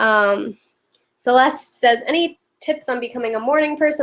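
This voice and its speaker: At a moderate pace, a woman speaks with a high pitch. Her pitch variation is ordinary. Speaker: lifestyle vlogger. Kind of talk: live stream Q&A. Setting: live video stream. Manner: casual, chatty.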